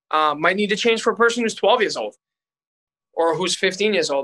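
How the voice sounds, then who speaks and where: Here a man speaks with a bright, sharp tone. His pitch shifts in an ordinary way. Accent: Boston. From Boston area, US. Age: 30s. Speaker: strength and conditioning coach. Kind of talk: interview conversation.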